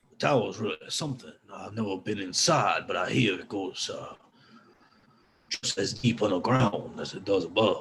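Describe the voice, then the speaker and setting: A man does a raspy, put-on character voice at medium pitch and moderate pace. His loudness swings widely. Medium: actual play. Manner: folksy, warm.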